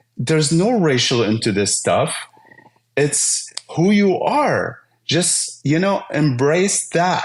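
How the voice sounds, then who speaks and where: A man with a slight Arabic accent speaks at a very slow pace and a high pitch, with very wide pitch swings. His loudness stays very even, and audible room echo is present. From Syria. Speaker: IT business owner. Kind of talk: podcast interview.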